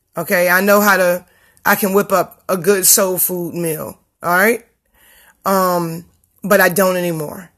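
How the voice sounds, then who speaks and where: Animated in tone, a woman speaks at a medium pitch and fairly slow pace with long, frequent pauses. The recording is very clean, the background silent. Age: 30s. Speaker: vlogger on healthy eating. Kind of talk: casual vlog monologue.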